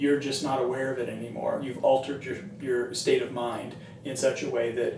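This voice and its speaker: A man speaks at a fairly quick pace over noticeable background noise, with audible echo from the room. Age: 60s. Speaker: recovery artist and educator. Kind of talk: informal talk explaining a poster. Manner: conversational, with some hesitations.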